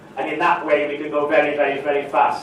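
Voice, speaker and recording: A man speaking amid noticeable background noise and audible room echo. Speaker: property investment seminar speaker. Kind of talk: live seminar talk. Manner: animated.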